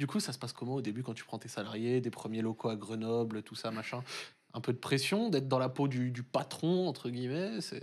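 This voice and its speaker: Talking at a fairly quick pace, the man keeps a medium pitch that varies in an ordinary way. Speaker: esports show host. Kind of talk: casual interview. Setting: studio. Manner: fast talker. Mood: calm, relaxed. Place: studio.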